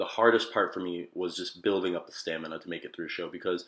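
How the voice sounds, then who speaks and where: In an American accent, a man with fairly low pitch talks at a very fast pace. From Baltimore, Maryland. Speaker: metalcore vocalist. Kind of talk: casual talk to camera. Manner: frequent fillers (um).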